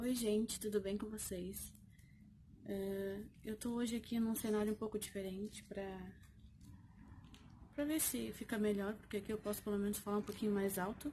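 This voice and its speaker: A woman's dark, mellow voice at medium pitch, moderate in pace, with fairly even intonation and long, frequent pauses. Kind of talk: casual vlog talk. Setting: outdoors on the street. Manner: usually soft-spoken, speaking louder today.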